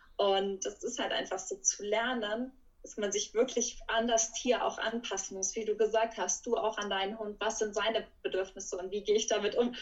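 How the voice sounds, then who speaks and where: An unremarkable speaking voice from a woman, fairly high and fairly even in intonation, at a moderate pace with hardly any pauses. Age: 20s. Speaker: animal welfare worker for primates. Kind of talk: casual interview. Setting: video call.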